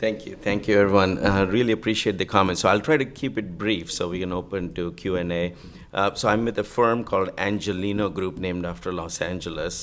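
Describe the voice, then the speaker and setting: At a fairly quick pace with hardly any pauses, a man with a very deep, low pitch speaks with ordinary pitch variation. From India. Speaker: investor. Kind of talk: panel discussion.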